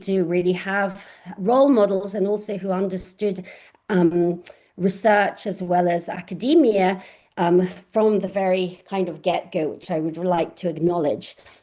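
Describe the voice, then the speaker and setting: A woman's medium-pitched voice, dark and mellow in tone, at a moderate pace with fairly even intonation. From southern England, Oxford. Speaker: astrophysicist professor. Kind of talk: online lecture. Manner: hesitant with frequent fillers.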